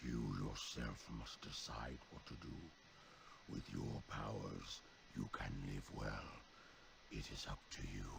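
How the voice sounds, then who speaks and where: Loud background noise accompanies a man doing a put-on character voice. He moves at a fairly slow pace with long, frequent pauses. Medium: video game.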